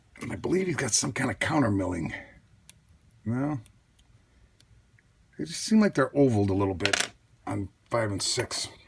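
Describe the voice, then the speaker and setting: Over noticeable background noise, a medium-pitched man speaks at a moderate pace with very wide pitch swings and long, frequent pauses. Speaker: lockpicking hobbyist youtuber. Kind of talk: tutorial. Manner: casual, self-talking.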